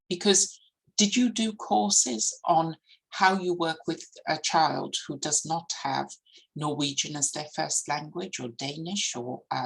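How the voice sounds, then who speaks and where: Speech comes at a fairly slow pace with a non-native accent. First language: not English. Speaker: education professor. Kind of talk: conference keynote lecture. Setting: conference. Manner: hesitant with fillers and restarts.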